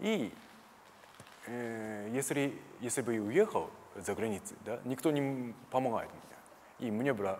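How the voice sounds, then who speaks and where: A man with a Japanese accent talks fairly slowly with ordinary pitch variation and long, frequent pauses over light background noise. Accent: Japanese-accented Russian. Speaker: karate teacher. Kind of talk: interview. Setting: gym. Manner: halting. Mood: calm, reflective. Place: studio. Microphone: lapel.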